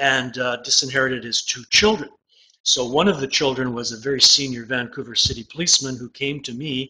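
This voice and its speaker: A man talks at a fairly quick pace. He has a normal speaking voice at medium pitch. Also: ordinary pitch variation. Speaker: estate litigation lawyer. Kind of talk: interview. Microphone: faint, distorted.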